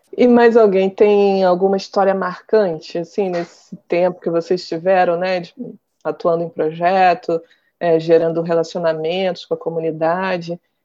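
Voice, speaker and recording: At a fairly slow pace, a woman speaks in a flat monotone. Her pitch is fairly low and her tone dark and mellow. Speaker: journalist and podcast host. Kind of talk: interview, with scripted intro.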